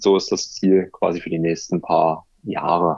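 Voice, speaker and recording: The man speaks in a monotone with flat intonation. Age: 20s. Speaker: YouTuber on aquarium and terrarium hobby. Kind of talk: casual interview. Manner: hesitant with fillers.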